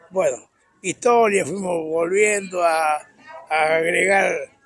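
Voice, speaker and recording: High-pitched, a man talks at a very slow pace with ordinary pitch variation. The sound is dry, with no echo. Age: 80s+. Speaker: peanut farmer and agricultural contractor. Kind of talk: interview answer, casual anecdotes. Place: open country. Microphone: handheld.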